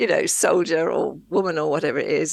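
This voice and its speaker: A woman's fairly quick speech over noticeable background noise. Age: 60s. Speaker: psychic healer and author. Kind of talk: interview conversation. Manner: halting, many fillers and repetitions.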